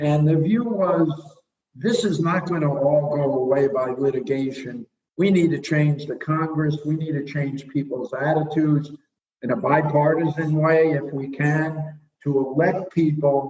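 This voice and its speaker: A man with an American accent, fairly high in pitch, fairly even in intonation, at a fairly slow pace. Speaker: immigration lawyer and professor. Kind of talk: legal analysis interview.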